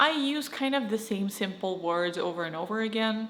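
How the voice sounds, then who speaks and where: A woman's fairly high-pitched, fairly slow speech in a Russian accent, with ordinary pitch variation over noticeable background noise. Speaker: YouTuber. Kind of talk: casual talk to camera.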